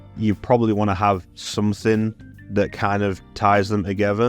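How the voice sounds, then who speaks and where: With music playing behind him, a man speaks in a fairly low pitch, at a moderate pace, with a flat, monotone intonation. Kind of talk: video essay voiceover.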